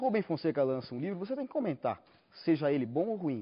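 A man speaks at a fairly high pitch with very wide pitch swings. The background is quiet. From Brazil. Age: young. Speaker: literary critic and journalist; journalist. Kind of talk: TV interview. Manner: halting, many fillers. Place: studio. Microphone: lapel.

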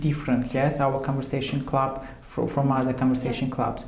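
A man speaks with a fairly high pitch. Light background noise and audible room echo can be heard. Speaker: language teacher. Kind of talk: interview. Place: studio.

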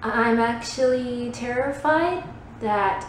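Speaking very slowly, a woman uses ordinary pitch variation. Room echo is audible, and there is light background noise. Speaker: actor performing a monologue. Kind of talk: dramatic monologue. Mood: anxious, self-deprecating. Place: empty room. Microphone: phone near.

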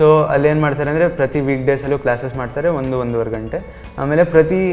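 A man speaks with a fairly high pitch. Faint music plays in the background. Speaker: student, medical entrance exam topper. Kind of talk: interview answer. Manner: soft-spoken. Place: classroom. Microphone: handheld.

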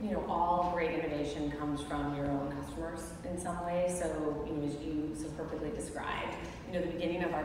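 A woman's very deep, low voice at a fairly quick pace, monotone and flat, with strong room echo and noticeable background noise. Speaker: panelist. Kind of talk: interview answer. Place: stage.

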